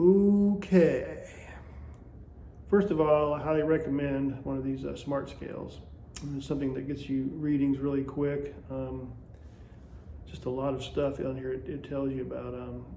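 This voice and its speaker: Pausing long and often, a man speaks at a fairly slow pace amid audible room echo. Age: 60s. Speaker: vlogger documenting a juice fast. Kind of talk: casual vlog monologue. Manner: hesitant, many fillers.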